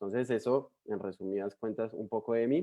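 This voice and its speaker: A man speaks with a strong Colombian accent. His pitch varies in an ordinary way. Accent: Colombian, still strong. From Colombia, Bogotá. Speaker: missionary. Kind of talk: sermon.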